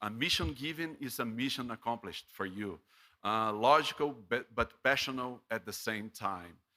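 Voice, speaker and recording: A man with a medium-pitched voice and a bright, sharp tone speaks at a moderate pace with ordinary pitch variation, in a very clean recording with a silent background. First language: Portuguese. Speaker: professor. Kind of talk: graduation speech. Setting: ceremony broadcast from studio. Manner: halting, many fillers.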